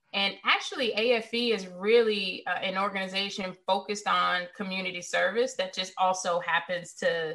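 A woman speaks in a normal speaking voice with an American accent, medium in pitch, at a moderate pace with fairly even intonation and hardly any pauses. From US South, Richmond, Virginia. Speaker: cybersecurity executive. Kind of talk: interview.

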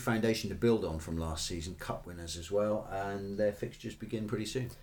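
A man delivers his words fairly quickly. His voice is fairly low. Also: hardly any pauses. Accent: English. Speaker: football podcast co-host. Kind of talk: casual chat. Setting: studio.

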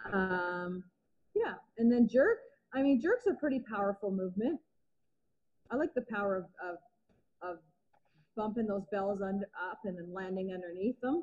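Somewhat breathy and at a medium pitch, a woman speaks at a moderate pace with ordinary pitch variation and long, frequent pauses. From Canada, Vancouver Island, British Columbia. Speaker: kettlebell athlete and coach. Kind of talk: casual interview.

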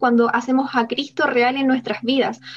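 Noticeable background noise sits behind the recording. A woman talks fairly quickly in a high voice. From Chile. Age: 20s. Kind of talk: casual chat.

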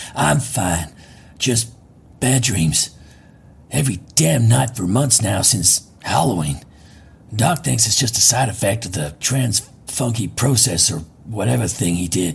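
In a put-on character voice, a man with a raspy, fairly low pitch swings very widely in pitch and talks fairly slowly with long, frequent pauses. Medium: audio drama. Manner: laid-back, slangy.

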